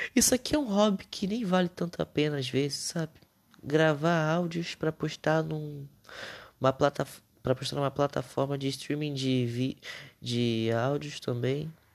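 At a moderate pace, a man talks with a fairly high pitch and ordinary pitch variation, recorded dry and close with no echo. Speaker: podcaster. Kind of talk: casual monologue. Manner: unscripted, hesitant.

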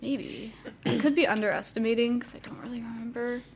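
Amid noticeable background noise, a woman with an American accent and a fairly high pitch speaks at a moderate pace. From US Midwest, Akron area, Ohio. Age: 20s. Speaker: art education student. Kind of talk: casual chat, personal testimony.

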